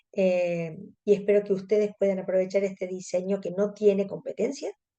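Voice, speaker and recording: With a Córdoba Argentine accent, a woman speaks in a dark, mellow tone at a medium pitch and fairly slow pace, her intonation monotone and flat. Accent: Cordoban Argentine Spanish. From Argentina, Córdoba. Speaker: contact lens specialist. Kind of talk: webinar lecture.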